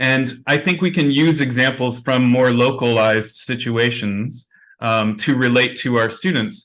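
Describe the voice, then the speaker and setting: A plain, everyday voice at a fairly slow pace, with very even loudness, ordinary pitch variation and a quiet background. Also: man, medium pitch for a man. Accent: Canadian. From Canada. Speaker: conference plenary speaker. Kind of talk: conference Q&A answer.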